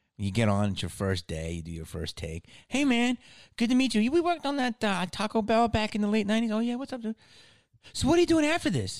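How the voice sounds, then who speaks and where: At a very fast pace, a man speaks with an American accent on a very clean recording with a silent background and a dry, close sound with no echo. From Philadelphia area. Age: 50s. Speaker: podcast host. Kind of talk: casual chat. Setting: studio.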